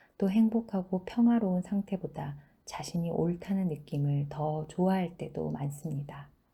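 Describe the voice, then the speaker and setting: This woman's voice is fairly low and somewhat breathy, with a dark, mellow tone. She speaks at a fairly slow pace with ordinary pitch variation. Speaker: book reading channel host. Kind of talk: reading aloud.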